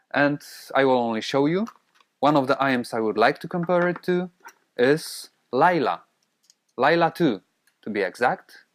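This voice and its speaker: A man in a Polish accent, fairly high pitch, lively intonation, with long, frequent pauses. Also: moderate pace. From Poland. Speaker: audio gear reviewer. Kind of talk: product review. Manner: hesitant with fillers.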